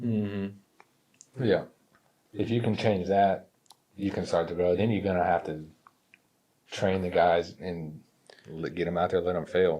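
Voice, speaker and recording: A man talks at a fairly slow pace in a very deep, low pitch. His intonation stays fairly even. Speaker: irrigation business owner and podcast co-host. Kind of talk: casual chat.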